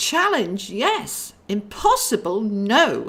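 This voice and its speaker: Putting on a character voice, a woman speaks at a fairly high pitch and a very slow pace. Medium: read story. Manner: worried, fretful.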